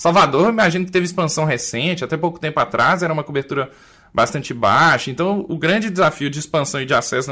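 Talking very fast in a Minas Gerais accent, a man uses a high pitch, ordinary pitch variation and a bright, sharp tone. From Minas Gerais, Brazil. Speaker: family doctor and podcast co-host. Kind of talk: panel discussion.

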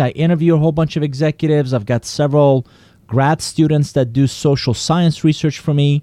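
A dark, mellow tone in a Persian accent, with a dry, close sound and no echo. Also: man. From Iran. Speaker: business consultant and author. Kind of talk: interview.

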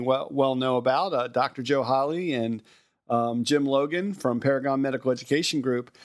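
On a very clean recording with a silent background, a man with a fairly high pitch and a plain, everyday voice speaks at a moderate pace. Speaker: podcast host. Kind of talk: casual chat.

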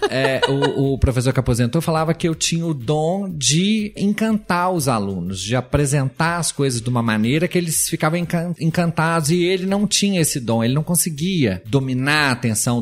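A man talks at a fairly high pitch with very wide pitch swings and very even loudness. He hardly pauses, and music plays in the background. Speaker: botanist biologist. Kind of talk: casual interview.

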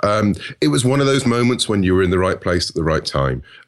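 A man with a British accent, very fast pace and lively intonation against a quiet background. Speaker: author. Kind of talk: casual interview.

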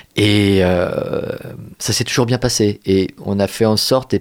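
A man speaks here. His pitch is fairly low and his intonation fairly even. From Paris suburbs, France. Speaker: theatre director. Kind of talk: casual chat. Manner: halting.

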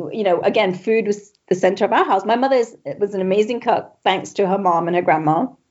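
A woman talks very fast at a medium pitch, with ordinary pitch variation. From Singapore. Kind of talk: casual interview chat.

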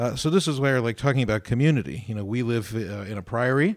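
Ordinary pitch variation and a fairly quick pace from an unremarkable speaking voice. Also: man. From Ohio, US. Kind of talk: radio discussion on faith topics. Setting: radio studio.

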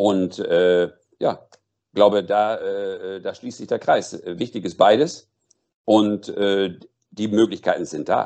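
A man speaks at a very slow pace with long, frequent pauses and big swings in loudness. The background is quiet. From North Rhine-Westphalia, Germany. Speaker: boxing manager and former sports commentator. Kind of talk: interview. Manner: hesitant with fillers.

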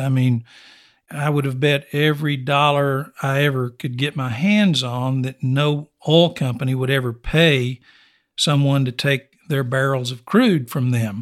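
In a West Texas accent, a man speaks fairly slowly with a fairly high pitch and fairly even intonation. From West Texas (Snyder). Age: 60s. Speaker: oilfield services company owner. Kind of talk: interview.

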